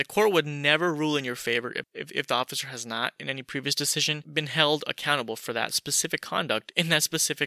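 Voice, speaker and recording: The delivery is very fast with an animated, bright, sharp tone and a dry, close sound with no echo, on a very clean recording with a silent background. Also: man. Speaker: podcaster. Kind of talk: monologue podcast, opinionated commentary, angry rant near 14:14. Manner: casual, animated, fired-up and indignant in the rant, fast and emphatic.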